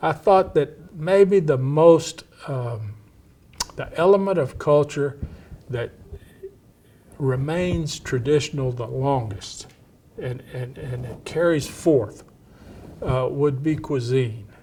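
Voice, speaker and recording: Over noticeable background noise, a man with an American accent talks very slowly at a fairly high pitch, with ordinary pitch variation, long and frequent pauses, and big swings in loudness. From East Texas, Cajun family with Louisiana ties. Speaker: historian. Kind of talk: interview. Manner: halting.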